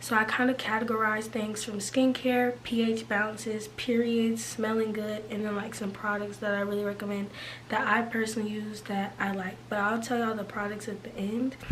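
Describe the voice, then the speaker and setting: A woman with a fairly high pitch and monotone, flat intonation at a moderate pace, with audible room echo and noticeable background noise. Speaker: lifestyle vlogger. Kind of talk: casual advice vlog. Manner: casual, chatty.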